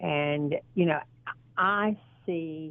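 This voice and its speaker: Very slowly and at a very deep, low pitch, a woman speaks with a Southern US accent. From US South (Georgia). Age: 60s. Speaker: model and actress. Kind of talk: interview. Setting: phone call.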